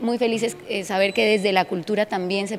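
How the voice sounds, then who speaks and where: A woman talking at a fairly quick pace with fairly even intonation, light background noise behind her. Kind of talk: interview answer. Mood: happy, proud. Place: hall. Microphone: handheld.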